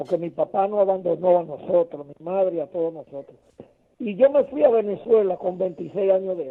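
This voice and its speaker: Speaking fairly quickly, a man at a high pitch uses lively intonation and big swings in loudness. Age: 60s. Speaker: caller. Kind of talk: phone-in call.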